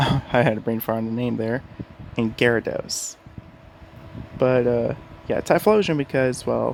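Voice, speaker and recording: Through noticeable background noise, a man with a medium pitch and fairly even intonation speaks at a fairly slow pace, leaving long, frequent pauses. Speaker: gaming YouTuber. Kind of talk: casual gaming talk to camera. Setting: home bedroom. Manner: quiet, keeping voice down.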